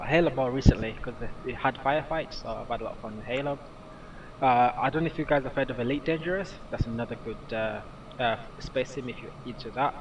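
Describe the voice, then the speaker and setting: Fairly quick speech from a man with a British accent, medium pitch and ordinary pitch variation, over noticeable background noise. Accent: British, crisp. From Britain. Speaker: gaming streamer. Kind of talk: live stream commentary. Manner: halting, many fillers; casual, relaxed.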